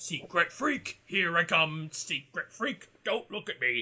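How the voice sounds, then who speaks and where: A raspy, put-on character voice from a man, high-pitched and at a fairly slow pace. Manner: silly, sing-song.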